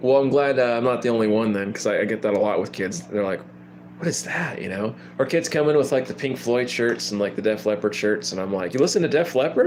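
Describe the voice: With lively intonation and a slightly mellow tone, a man talks fast at a medium pitch.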